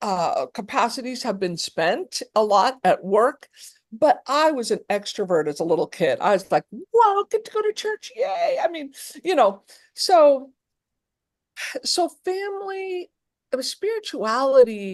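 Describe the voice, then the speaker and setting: A high-pitched woman with an American accent speaks at a fairly slow pace with very wide pitch swings, the sound dry and close with no echo. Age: 60s. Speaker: therapist and abuse survivor. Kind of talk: interview testimony.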